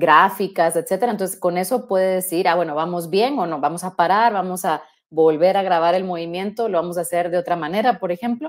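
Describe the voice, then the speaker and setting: A woman at a fairly quick pace with ordinary pitch variation and hardly any pauses, against a quiet background. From Guatemala. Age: 40s. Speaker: robotics engineer; guest. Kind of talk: interview. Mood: friendly, relaxed. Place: home room.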